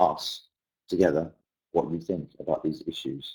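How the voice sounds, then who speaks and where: A man speaks in a dark, mellow tone with a British accent. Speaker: English language teacher. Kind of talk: webinar presentation.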